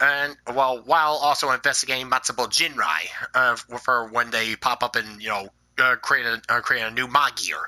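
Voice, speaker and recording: At a moderate pace, a man talks with a bright, sharp tone, medium pitch and ordinary pitch variation. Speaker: tokusatsu vlogger. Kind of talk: casual vlog review. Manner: halting, many fillers.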